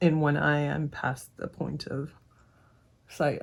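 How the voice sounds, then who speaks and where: A woman speaks in a somewhat breathy voice. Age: 50s. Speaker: makeup vlogger. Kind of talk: casual talk to camera.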